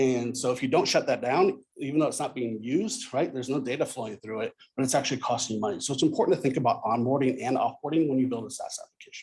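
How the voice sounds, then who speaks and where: This man talks at a very fast pace and a medium pitch. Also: ordinary pitch variation. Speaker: conference speaker, software architect. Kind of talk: conference talk.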